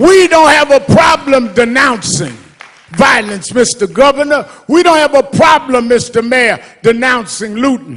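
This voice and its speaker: Noticeable background noise sits under a man's extremely high voice, which has lively intonation and a fairly slow pace. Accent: American. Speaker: reverend, civil rights activist. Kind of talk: eulogy at a memorial service. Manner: impassioned, emphatic.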